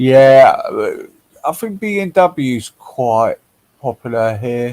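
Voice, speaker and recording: Spoken at a very slow pace with a London accent, the voice sounds dry and close, with no echo. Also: man. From London, England. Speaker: livestream host. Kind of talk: casual chat.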